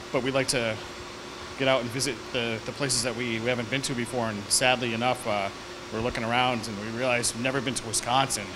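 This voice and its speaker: A man races along at a very fast pace over noticeable background noise. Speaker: guest. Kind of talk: interview answer. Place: factory. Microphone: handheld.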